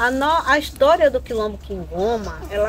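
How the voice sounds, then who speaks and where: Noticeable background noise accompanies a woman's fairly slow delivery. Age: 60s. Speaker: quilombo community leader and terreiro caretaker. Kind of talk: oral history interview. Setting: on location at a terreiro in the quilombo. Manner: hesitant, many fillers and repetitions.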